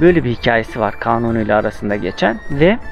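The speech moves at a fairly slow pace, with faint music in the background. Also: man. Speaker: travel vlogger. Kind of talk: storytelling travel vlog. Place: garden. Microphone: phone near.

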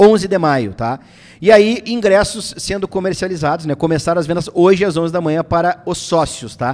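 Speaking in an animated tone, a man with a high pitch shows ordinary pitch variation. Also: moderate pace. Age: 20s. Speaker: football channel host. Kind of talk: casual live stream chat about football. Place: studio. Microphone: studio mic.

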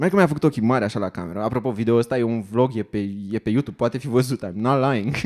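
Over a quiet background, a man talks at a very fast pace in a medium pitch with ordinary pitch variation. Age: 30s. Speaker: stand-up comedian. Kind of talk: stand-up comedy monologue. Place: stage. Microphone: handheld.

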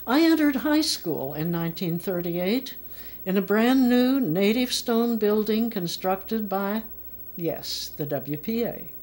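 With an American accent, a woman speaks at a fairly slow pace in a fairly high pitch, her voice making very wide pitch swings. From United States. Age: 80s+. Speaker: memoir narrator. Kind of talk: personal memoir narration. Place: home room.

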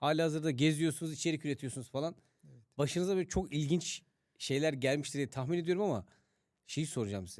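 At a very fast pace, a man with a fairly high pitch and ordinary pitch variation speaks in a very clean recording against a silent background. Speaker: podcast host interviewer. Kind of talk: casual interview chat.

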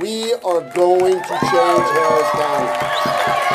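A man's voice comes through with a little background noise behind it. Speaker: election candidate. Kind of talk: victory speech. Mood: grateful, upbeat. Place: hall. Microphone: podium.

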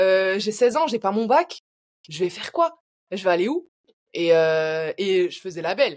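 A woman speaks with lively intonation and big swings in loudness. She leaves long, frequent pauses. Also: fairly slow pace, quiet background. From France. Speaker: learning designer and training entrepreneur; podcast guest, educator. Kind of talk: interview. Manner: hesitant, many fillers.

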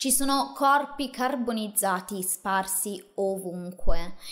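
A woman speaks in a serious tone with lively intonation over a quiet background. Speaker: true crime host. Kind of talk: true-crime narration, solo monologue to camera. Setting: video channel, solo presenter. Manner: measured, serious storyteller pacing with emphatic asides; casual, chatty, addressing viewers directly. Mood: serious, dramatic storytelling. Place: home room. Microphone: studio mic.

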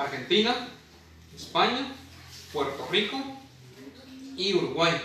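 Light noise in the background and audible echo from the room surround a man's voice. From Guatemala. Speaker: poet. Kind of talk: interview answer. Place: home room. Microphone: camera far.

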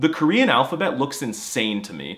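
This man, with an American accent, talks at a very fast pace. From United States. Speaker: language YouTuber. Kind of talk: comedic scripted narration. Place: home room.

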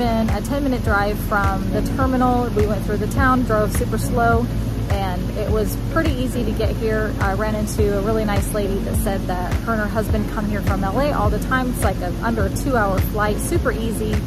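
A woman talks at a fairly quick clip with hardly any pauses, her voice dry and echo-free over clear background music. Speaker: travel vlogger. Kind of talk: casual vlog chat. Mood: calm, encouraging. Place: waterside. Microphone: phone near.

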